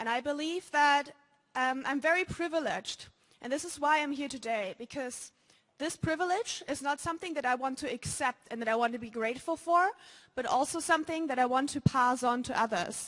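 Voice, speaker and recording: At a fairly quick pace, a woman with a German accent speaks in a high pitch with ordinary pitch variation. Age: young. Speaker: student. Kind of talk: conference talk. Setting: stage with audience. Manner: halting.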